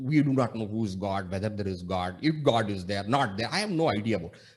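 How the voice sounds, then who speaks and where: Somewhat breathy and rushing at a very fast pace, the speaker talks in a Tamil accent over a quiet background. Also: man. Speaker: monk and spiritual teacher. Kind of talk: spiritual discourse. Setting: video call.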